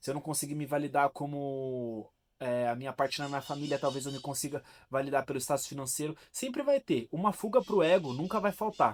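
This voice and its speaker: On a very clean recording with a silent background, a man talks at a fairly quick pace with ordinary pitch variation in a dry, close sound with no echo. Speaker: philosophy and self-help video host. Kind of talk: casual talk to camera, explanatory monologue. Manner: conversational, direct address, with hesitations and restarts.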